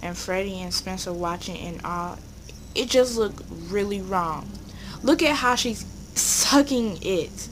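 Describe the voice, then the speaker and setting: A woman's medium-pitched voice with lively intonation at a fairly slow pace, marked by long, frequent pauses, noticeable background noise and audible room echo. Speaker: YouTuber. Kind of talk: commentary video. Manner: stuttering.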